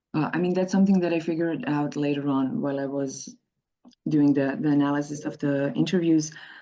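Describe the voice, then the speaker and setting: A woman with a very deep, low pitch and a dark, mellow tone talks at a fairly quick pace with ordinary pitch variation. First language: not English. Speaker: activist and researcher. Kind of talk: conference presentation. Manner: halting, with frequent repetitions.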